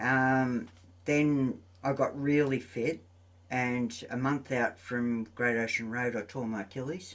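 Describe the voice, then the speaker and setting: With an Australian accent, a man speaks at a very slow pace in a medium pitch, keeping his intonation fairly even against a quiet background. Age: 60s. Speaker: running coach. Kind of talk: casual chat.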